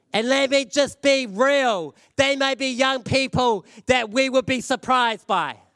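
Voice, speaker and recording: Loud and animated, this voice moves at a fairly slow pace with ordinary pitch variation on a very clean recording with a silent background. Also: man, extremely high pitch for a man. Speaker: preacher. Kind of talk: sermon. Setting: church service with congregation.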